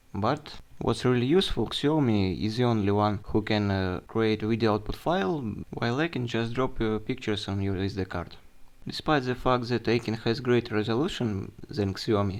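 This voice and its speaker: A man at medium pitch with a Russian accent, against a quiet background. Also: ordinary pitch variation, moderate pace. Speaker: tech reviewer. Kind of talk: product review. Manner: halting.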